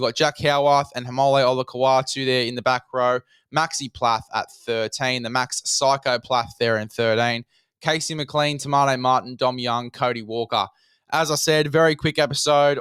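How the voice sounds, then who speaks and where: Recorded very clean with a silent background and a dry, close sound with no echo, a man of medium pitch speaks in an Australian accent with monotone, flat intonation. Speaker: fantasy rugby league podcast host. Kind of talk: solo podcast monologue. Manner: fast.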